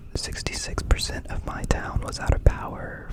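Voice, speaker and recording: The speaker whispers at a fairly slow pace in a relaxed tone. Noticeable background noise is present. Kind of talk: whispered ASMR ramble about recent life events. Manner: whispered, soft, relaxed, casual.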